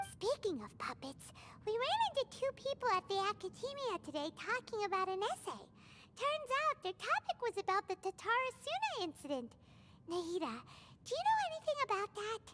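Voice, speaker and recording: In a squeaky, put-on character voice of extremely high pitch, someone talks at a fairly quick pace over clear background noise. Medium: video game. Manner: excitable.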